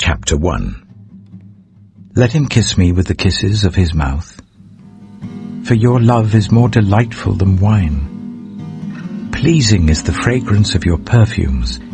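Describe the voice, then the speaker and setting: With music in the background, a man talks at a very slow pace and very even loudness, pausing long and often. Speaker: audiobook narrator. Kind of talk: Bible audiobook reading. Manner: calm, soothing.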